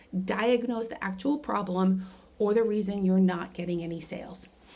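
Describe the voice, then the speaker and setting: A woman with an unremarkable speaking voice talks at a medium pitch and moderate pace, with ordinary pitch variation. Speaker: marketing coach. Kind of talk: tutorial. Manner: casual with fillers.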